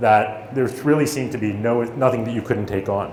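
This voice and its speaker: In an American accent, the speaker goes at a moderate pace with ordinary pitch variation, amid audible room echo and noticeable background noise. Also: man. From USA. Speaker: startup founder and motivational speaker. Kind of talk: motivational talk. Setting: stage with audience.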